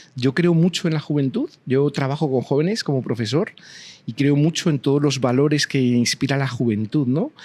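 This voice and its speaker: In a Spanish accent, a man with a fairly high voice speaks at a moderate pace with ordinary pitch variation, the sound dry and close with no echo. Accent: Spanish (Spain). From Spain. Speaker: university professor. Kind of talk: interview conversation.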